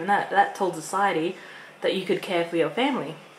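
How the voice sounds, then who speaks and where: Noticeable background noise accompanies a woman with a medium pitch who talks at a fairly quick pace. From Australia. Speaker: vlogger. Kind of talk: casual chat. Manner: halting.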